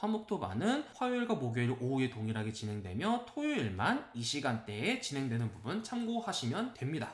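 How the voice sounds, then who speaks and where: Pitch swings very widely as the speaker talks at a fairly quick pace. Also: man. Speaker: math academy director. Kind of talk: informational presentation. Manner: unsteady diction and intonation.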